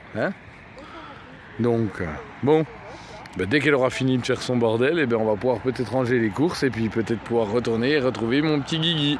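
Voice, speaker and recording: Pausing long and often, a man speaks at a moderate pace with ordinary pitch variation over noticeable background noise. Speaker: van life vlogger. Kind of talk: casual vlog. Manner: animated.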